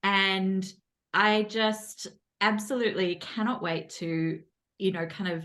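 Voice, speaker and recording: Medium in pitch, a woman speaks at a fairly slow pace with ordinary pitch variation. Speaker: podcast host. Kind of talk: casual interview. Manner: animated.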